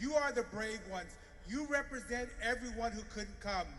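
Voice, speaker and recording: A man speaks in a raised, projected voice at a moderate pace with ordinary pitch variation. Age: 50s. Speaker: business association leader. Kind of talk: rally speech.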